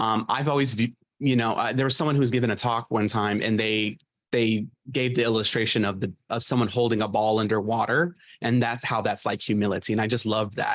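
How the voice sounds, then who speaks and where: A man talks at a fairly quick pace with a medium pitch. His intonation is fairly even. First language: sign language. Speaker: webinar presenter on interpreting and mentorship. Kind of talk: online webinar presentation. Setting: online webinar. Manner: casual, many fillers and tag questions.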